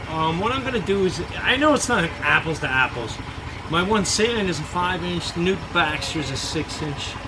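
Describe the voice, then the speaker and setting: A man speaks at a moderate pace in a high pitch. Audible room echo and noticeable background noise surround him. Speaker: boat repair DIY reviewer. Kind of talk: casual product review tutorial. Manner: halting, many fillers and repeats.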